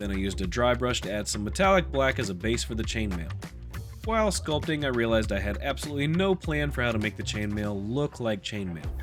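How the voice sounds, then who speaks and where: With music in the background, a playful voice swings very widely in pitch. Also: man, fairly low pitch for a man. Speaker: polymer clay sculptor. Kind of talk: casual narration of a sculpting video. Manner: humorous, playful.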